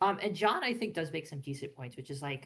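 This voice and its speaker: Over a silent background in a very clean recording, a woman talks at a very fast pace with lively intonation. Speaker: PhD student presenting fan analysis. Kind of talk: slideshow presentation. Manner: casual, many filler words.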